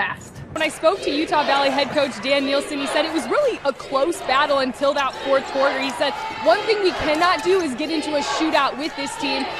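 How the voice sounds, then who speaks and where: A woman talks at a high pitch and a fairly quick pace over noticeable background noise. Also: ordinary pitch variation. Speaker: sports broadcaster. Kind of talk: sideline report relaying a coach's halftime or timeout comments.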